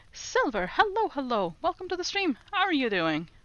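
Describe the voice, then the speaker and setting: A woman speaks in a Norwegian accent. Her pitch swings very widely. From Norway. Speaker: streamer. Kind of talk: casual language-learning livestream. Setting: livestream.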